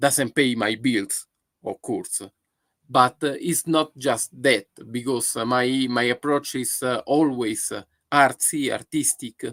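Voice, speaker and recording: A man with an Italian accent at a very slow pace, medium pitch and fairly even intonation, in a dry, close sound with no echo. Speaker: photographer. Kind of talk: live stream monologue. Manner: halting, many fillers.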